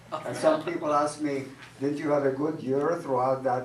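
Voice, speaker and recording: A man at a moderate pace and medium pitch with fairly even intonation, amid noticeable background noise and audible room echo. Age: 70s. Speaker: comedian. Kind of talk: stand-up. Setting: stage with audience. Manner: halting.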